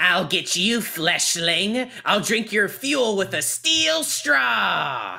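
Very slow yet with hardly any pauses, a put-on character voice at a middle pitch swings very widely up and down. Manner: menacing.

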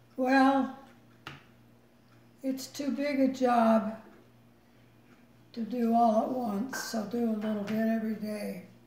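Amid light background noise and audible room echo, a woman speaks at a very slow pace in a fairly high pitch with monotone, flat intonation. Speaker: mother and great-great-grandmother. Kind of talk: interview answer. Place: home room. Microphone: phone near.

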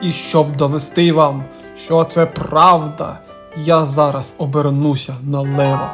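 A man does a gruff, put-on character voice at a fairly high pitch and a fairly slow pace. Clear music plays in the background. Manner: boastful.

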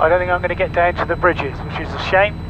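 A high-pitched man's voice, dry with no echo, against noticeable background noise. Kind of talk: commentary. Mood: relaxed, slightly disappointed. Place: plane. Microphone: headset.

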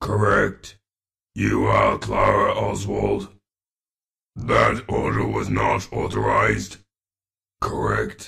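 A man's raspy, put-on character voice, very slow, with long, frequent pauses. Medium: voice reel.

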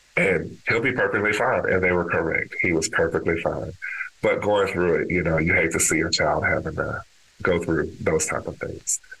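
Noticeable background noise sits behind a man who speaks at a moderate pace in an American accent. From Texas, Dallas. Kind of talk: interview conversation.

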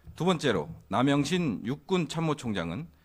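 On a very clean recording with a silent background, a man talks at a very slow pace in a fairly high pitch. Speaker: government spokesperson. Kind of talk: press briefing. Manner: formal.

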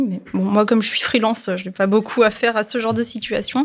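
A woman speaks fairly quickly in a fairly high pitch with fairly even intonation. It is a normal speaking voice. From Toulon, southern France. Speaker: podcast guest. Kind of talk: casual chat.

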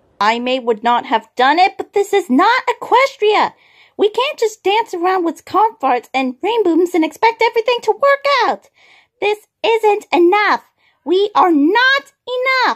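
A put-on character voice, female-sounding and extremely high in pitch, at a moderate pace. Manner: defensive, frustrated, bitter.

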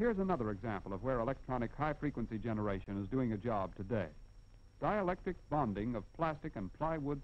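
Confident in tone, a man talks at a very fast pace with lively intonation. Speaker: film narrator. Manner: formal, measured, brisk and declarative, with confident, even pacing; didactic, explaining step by step with emphasis on key points. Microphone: old recording.

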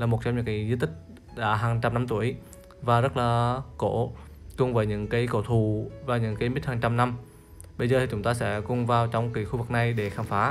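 A man talks with fairly even intonation while faint music plays in the background. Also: moderate pace. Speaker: local travel vlogger. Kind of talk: guided tour commentary. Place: open country. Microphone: phone near.

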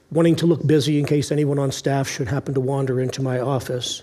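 Fairly quick speech from a man. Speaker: pastor. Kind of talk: sermon. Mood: warm, lightly humorous. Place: church. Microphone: headset.

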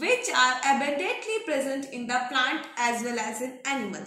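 A woman speaks in a bright, sharp tone. Her voice is raised and projected. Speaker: pharmacy exam tutor. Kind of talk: lecture. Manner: repetitive dictation pace.

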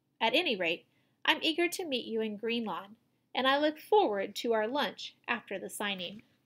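Intonation stays lively as a natural voice reads against quiet surroundings.

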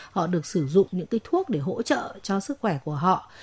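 A woman speaks at a medium pitch in an ordinary speaking voice. The sound is dry and close with no echo. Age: 40s. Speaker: doctor. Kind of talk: advice call-in. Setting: studio.

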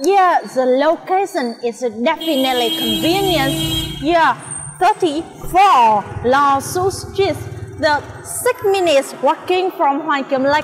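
A woman's high voice at a very slow pace, with faint music in the background. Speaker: food vlogger. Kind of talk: casual vlog chat. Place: street. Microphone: lapel.

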